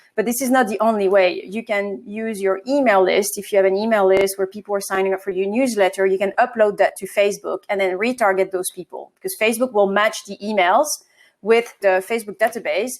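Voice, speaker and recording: A woman at medium pitch speaks in a French accent at a fairly quick pace, with fairly even intonation and hardly any pauses. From France. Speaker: marketing agency co-founder. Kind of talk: interview.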